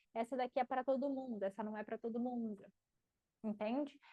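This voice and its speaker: A woman's high, animated voice in a dry, close recording with no echo. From Paraná, Brazil (countryside). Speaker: marketing teacher and mentor. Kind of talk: live class Q&A.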